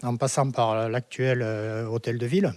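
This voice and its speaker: A man's tone is dark and mellow. Behind him, the background stays quiet. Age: 70s. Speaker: eyewitness villager. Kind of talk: testimony. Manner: halting, many repetitions.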